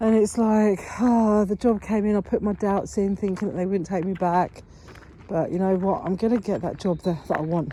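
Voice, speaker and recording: Fairly even intonation at a moderate pace, with a British accent. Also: woman. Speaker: manifestation vlogger. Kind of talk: casual vlog monologue. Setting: outdoors, walking in woods. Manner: walking while talking.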